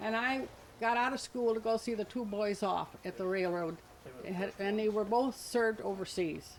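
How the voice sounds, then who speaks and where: An ordinary speaking voice with an American accent talks at a moderate pace. The intonation is fairly even. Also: woman. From Alloway, western New York. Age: 60s. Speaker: picnic attendee introducing family. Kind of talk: informal speech to a gathering.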